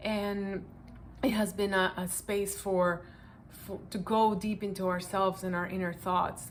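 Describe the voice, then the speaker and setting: A woman speaks at a moderate pace with a Spanish accent, her medium-pitched voice following a fairly even intonation. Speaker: project participant sharing reflections. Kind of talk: personal reflection answering questions to camera.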